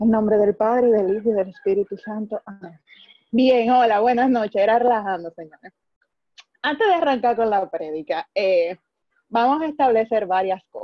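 A woman in a normal speaking voice, fairly high-pitched with ordinary pitch variation, at a moderate pace, with big swings in loudness. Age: 20s. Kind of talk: religious talk.

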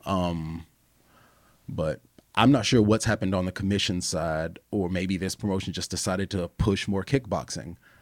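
With an American accent, a man talks at a moderate pace in a very deep, low voice with ordinary pitch variation, on a very clean recording with a silent background. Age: 40s. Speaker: professional fighter. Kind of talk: casual chat.

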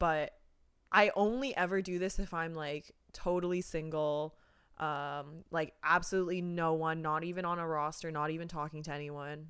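In a Canadian accent, a woman with a plain, everyday voice talks at a moderate pace, her fairly low pitch carried by fairly even intonation on a very clean recording with a silent background. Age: 20s. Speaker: podcast co-host. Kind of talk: casual chat.

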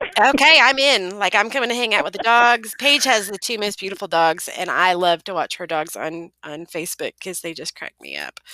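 A woman with a Southern accent speaks at a medium pitch and a moderate pace, with hardly any pauses. Her intonation is lively, her loudness swings widely, and the sound is dry and close with no echo. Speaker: podcast host.

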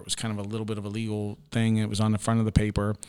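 Speaking at a very fast pace with a Midwestern American accent, a man talks at a fairly low pitch on a very clean recording with a silent background. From Ohio, US Midwest (New Philadelphia). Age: 40s. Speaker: county sheriff. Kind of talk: interview conversation. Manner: hesitant, many fillers.

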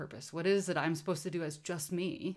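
Moderate pace and fairly low pitch in a woman's plain, everyday voice. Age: 40s. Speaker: artist and puppeteer. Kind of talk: casual chat.

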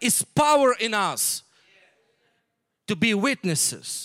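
Dry and close with no echo, a man's bright, sharp voice has lively intonation, big swings in loudness and long, frequent pauses. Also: very clean recording, silent background. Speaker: missionary pastor. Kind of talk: sermon. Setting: church.

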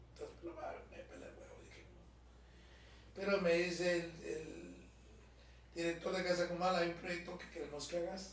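A man with a Guatemalan accent talks at a moderate pace with big swings in loudness. Audible room echo and noticeable background noise surround him. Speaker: actor and former radio host. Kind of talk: casual chat.

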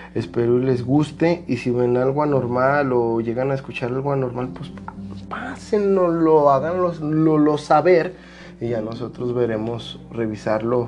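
A man speaks at a medium pitch and a fairly slow pace, with ordinary pitch variation. Audible room echo and noticeable background noise surround him. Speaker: podcast host. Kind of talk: casual chat.

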